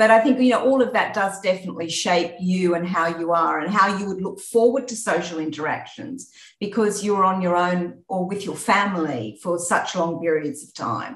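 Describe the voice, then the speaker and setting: With an Australian accent, a woman speaks at a moderate pace with ordinary pitch variation and big swings in loudness. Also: medium pitch for a woman, hardly any pauses. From Australia, rural New South Wales. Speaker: insurance executive. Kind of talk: interview.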